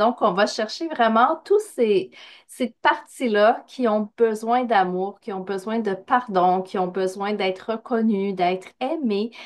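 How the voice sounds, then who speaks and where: A woman with a slight Quebec accent speaks in a sing-song way at a fairly high pitch and a very slow pace. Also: ordinary pitch variation. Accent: Québécois, slight. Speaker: spiritual coach, medium. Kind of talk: podcast interview. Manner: sing-song intonation.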